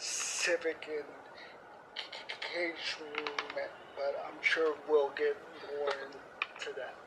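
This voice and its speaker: A man speaks very slowly in a fairly high voice over noticeable background noise. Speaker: civic engagement coordinator. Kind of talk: interview.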